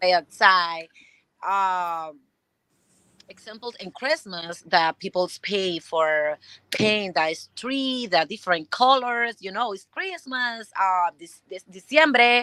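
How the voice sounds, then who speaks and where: A woman with a Spanish accent, medium in pitch and very slow in pace, her tone bright and sharp, her intonation lively, with big swings in loudness and a dry, close sound with no echo. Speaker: interview guest. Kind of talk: casual interview. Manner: halting, broken English.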